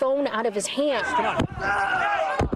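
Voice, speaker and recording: A woman's voice over noticeable background noise. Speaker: TV news reporter. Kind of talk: TV news report.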